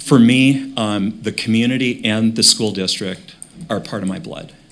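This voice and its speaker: Speaking at a fairly slow pace, a man talks in an Upper Midwest accent. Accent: Upper Midwest American. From Minnesota, Brainerd. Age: 60s. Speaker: school board member. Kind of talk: candidate presentation at public meeting. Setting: televised school board meeting.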